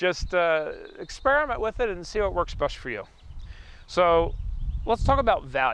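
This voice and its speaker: A man talks at a moderate pace against a quiet background. He leaves long, frequent pauses. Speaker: photography youtuber reviewing gear. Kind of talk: product review. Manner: casual, hesitant.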